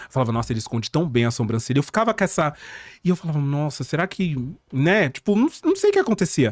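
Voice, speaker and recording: Talking at a very fast pace with very wide pitch swings, a man comes through dry with no echo over a quiet background. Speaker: drag performer. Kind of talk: casual chat. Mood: relaxed, humorous storytelling. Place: studio. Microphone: studio mic.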